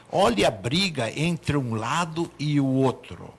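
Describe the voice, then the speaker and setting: This man's voice is fairly high and somewhat breathy, with lively intonation. He speaks very slowly. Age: 70s. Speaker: doctor. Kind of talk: talk show discussion.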